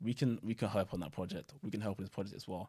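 A man talking at a very fast pace with ordinary pitch variation, on a very clean recording with a silent background. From Nigeria. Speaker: clothing manufacturer, business owner. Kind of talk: interview.

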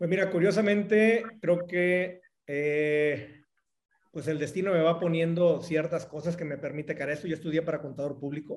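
A man with a Mexican accent, high pitch and moderate pace. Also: ordinary pitch variation. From Mexico, Jalisco (Cihuatlán). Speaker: entrepreneur. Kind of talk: casual interview.

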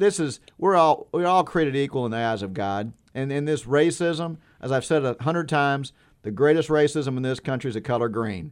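A man uses a plain, everyday voice pitched fairly high. His intonation is lively and his pace fairly quick. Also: quiet background. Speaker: caller. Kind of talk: call-in talk radio.

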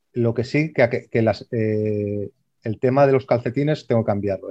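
A man's unremarkable speaking voice at medium pitch, moderate in pace with fairly even intonation. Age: 40s. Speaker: amateur runner. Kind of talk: casual chat.

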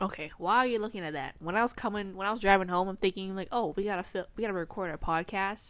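At a very fast pace, a woman speaks in a medium pitch with ordinary pitch variation. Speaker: podcast co-host. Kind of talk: casual chat. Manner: chatty, casual.

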